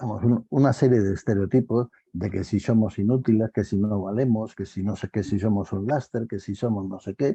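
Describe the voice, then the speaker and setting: Somewhat breathy and fairly low, a man's voice moves at a moderate pace. The tone is dark and mellow, and the sound is dry and close with no echo. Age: 70s. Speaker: panel guest in online talk. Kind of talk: panel discussion. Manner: animated, repetitive phrasing.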